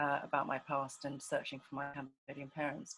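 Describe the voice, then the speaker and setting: A woman speaks with an English accent. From England. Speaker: documentary filmmaker. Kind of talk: casual chat. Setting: video call. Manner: halting.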